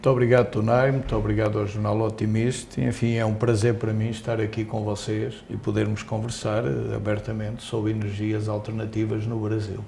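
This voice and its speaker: A man with a Portuguese accent, fairly low in pitch and monotone, flat in intonation, with hardly any pauses, audible room echo and noticeable background noise. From Portugal (Coimbra). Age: 60s. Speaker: company executive. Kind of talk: interview. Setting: newsroom.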